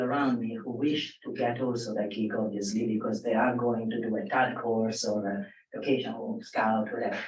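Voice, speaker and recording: A man with a non-native accent speaks at a moderate pace, his pitch swinging very widely in audible room echo. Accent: foreign. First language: not English. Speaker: audience member, film production assistant. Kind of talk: audience question at panel. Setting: live panel with audience. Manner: halting, with many fillers.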